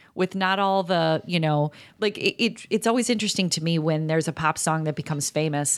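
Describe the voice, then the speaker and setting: This is an ordinary speaking voice at a fairly quick pace, with ordinary pitch variation and very even loudness. The sound is dry and close, with no echo. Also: woman, fairly low pitch for a woman, very clean recording, silent background. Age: 40s. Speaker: podcast co-host. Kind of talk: casual chat.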